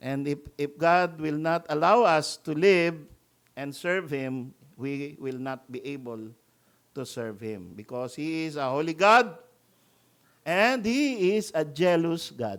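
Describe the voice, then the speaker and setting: A man's fairly high voice at a very slow pace, with lively intonation and big swings in loudness. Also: very clean recording, silent background. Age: 60s. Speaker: pastor. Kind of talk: sermon.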